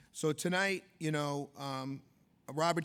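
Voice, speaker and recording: A man with an American accent speaks at a fairly high pitch with fairly even intonation. The recording is very clean and the background silent. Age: 50s. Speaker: event co-host. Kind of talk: gala emcee speech. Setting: stage with audience at gala dinner. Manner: loud.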